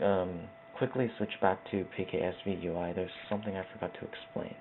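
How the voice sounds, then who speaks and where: A soft-spoken man with a very deep, low pitch and fairly even intonation at a fairly quick pace, over noticeable background noise. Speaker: video tutorial creator. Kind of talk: tutorial. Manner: quiet, soft-spoken; casual, hesitant with fillers.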